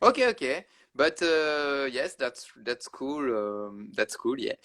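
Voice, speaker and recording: At a moderate pace, a man speaks with a Belgian French accent. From Belgium, Wallonia. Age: 20s. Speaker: interviewer. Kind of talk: casual interview. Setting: video call. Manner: halting.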